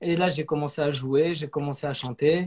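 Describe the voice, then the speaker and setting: A man with a plain, everyday voice, fairly high-pitched, at a fairly slow pace. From southern France, Saint-Raphaël. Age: 20s. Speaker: singer. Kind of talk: interview.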